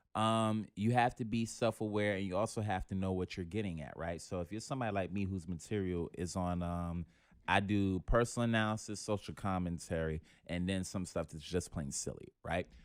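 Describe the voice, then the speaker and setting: Here a man talks in a New York accent with very deep, low pitch. His pace is fairly quick. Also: ordinary pitch variation, very clean recording, silent background. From New York City. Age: 20s. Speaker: comedian. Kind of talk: casual chat.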